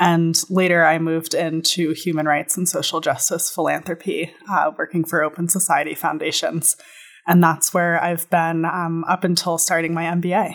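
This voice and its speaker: Recorded very cleanly against a silent background, a woman with an American accent speaks at a moderate pace in a fairly low, monotone, flat voice. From New York City (Manhattan). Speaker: MBA student. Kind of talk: interview conversation.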